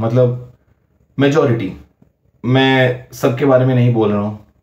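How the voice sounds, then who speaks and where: Speaking with a Bengali accent, a man has a medium-pitched, somewhat breathy voice with a dark, mellow tone. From West Bengal, India. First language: Bengali (speaking Hindi). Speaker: YouTuber. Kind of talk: personal vlog commentary. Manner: halting, frequent fillers.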